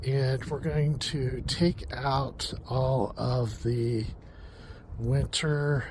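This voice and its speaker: A man's voice has a dark, mellow tone and is somewhat breathy. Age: 60s. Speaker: home gardening vlogger. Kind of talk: casual garden vlog. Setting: outdoors in garden. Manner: casual with many fillers.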